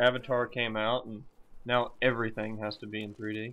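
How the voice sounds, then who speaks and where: Mumbling, a man speaks at a fairly slow pace. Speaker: gaming commentator. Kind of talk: gameplay commentary. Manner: halting.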